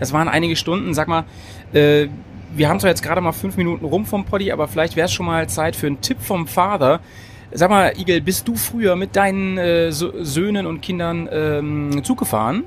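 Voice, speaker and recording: With lively intonation and a fairly quick pace, the voice comes through over noticeable background noise. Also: man, high pitch for a man. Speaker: podcast host. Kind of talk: casual chat. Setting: on a train. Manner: animated.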